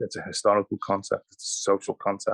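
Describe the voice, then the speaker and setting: With a Liverpool accent, a man talks in a dry, close sound with no echo. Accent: Liverpool (Scouse). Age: 60s. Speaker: historian. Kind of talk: panel discussion. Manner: halting, repeats words.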